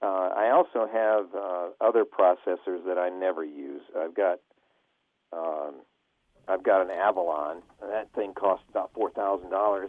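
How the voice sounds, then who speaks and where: An unremarkable speaking voice, fairly slow in pace. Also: man. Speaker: radio personality and voiceover talent. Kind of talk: casual interview answer about audio gear.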